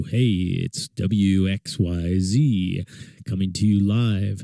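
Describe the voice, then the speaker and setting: A man puts on a character voice and drags his words out very slowly. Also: fairly low pitch for a man. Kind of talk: classic radio voice.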